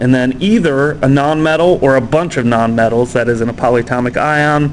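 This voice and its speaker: Amid noticeable background noise and audible room echo, a man speaks at a moderate pace with a fairly high pitch. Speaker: chemistry teacher. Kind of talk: lecture. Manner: casual with many fillers.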